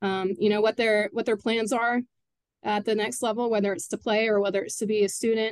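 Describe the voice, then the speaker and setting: A woman with an American accent talks in an unremarkable speaking voice at a fairly quick pace with fairly even intonation, in a dry, close sound with no echo. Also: fairly high pitch for a woman. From Texas (Katy area). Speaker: high school soccer coach. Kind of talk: casual interview.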